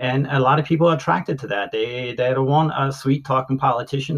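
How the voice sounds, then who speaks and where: Somewhat breathy and monotone, a man talks at a fairly quick pace with a medium pitch and flat intonation. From US, Maryland Eastern Shore (Salisbury). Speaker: Air Force veteran. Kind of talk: interview. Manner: halting, frequent fillers.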